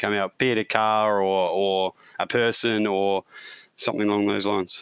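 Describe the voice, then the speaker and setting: A man with an Australian accent and a fairly low pitch. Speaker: podcast co-host and amateur racing driver. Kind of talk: casual interview.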